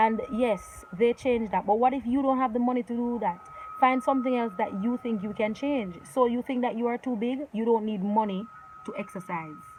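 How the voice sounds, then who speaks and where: Animated in tone, a woman with a fairly high pitch and ordinary pitch variation talks over noticeable background noise. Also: moderate pace. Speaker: lifestyle vlogger. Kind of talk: motivational talk to camera. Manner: loud, commanding.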